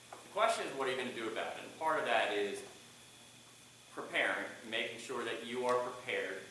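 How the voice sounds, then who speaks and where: Speaking with an American accent, a man at medium pitch talks at a fairly quick pace with ordinary pitch variation, amid noticeable background noise and audible room echo. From Boston. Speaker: public speaking coach. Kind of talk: lecture. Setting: classroom. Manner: animated.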